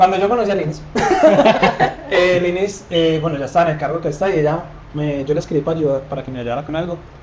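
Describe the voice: Audible room echo surrounds a slightly mellow tone at a fast pace. Pitch varies in an ordinary way. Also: man, fairly high pitch for a man.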